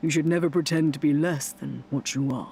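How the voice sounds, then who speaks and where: This is a put-on character voice at a low-to-middle pitch. It moves at a fairly quick pace. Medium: game stream. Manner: smooth, sly, teasing.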